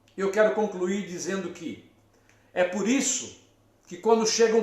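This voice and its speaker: Amid audible room echo, a man with a high pitch speaks fairly slowly with fairly even intonation. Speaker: psychologist. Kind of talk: live stream talk. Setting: live stream from therapy office.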